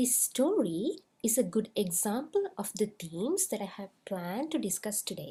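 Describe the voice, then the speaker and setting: A woman speaks at a fairly slow pace with a non-native accent. Her pitch swings very widely. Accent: non-native English rhythm. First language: not English. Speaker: school psychologist and lecturer. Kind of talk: webinar presentation. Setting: online webinar.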